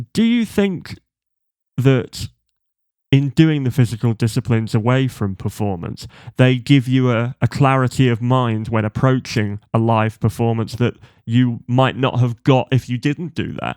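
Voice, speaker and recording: In a very clean recording with a silent background and a dry, close sound with no echo, a man talks in an ordinary speaking voice with ordinary pitch variation. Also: medium pitch for a man, fairly slow pace. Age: 30s. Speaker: podcast host. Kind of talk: interview conversation.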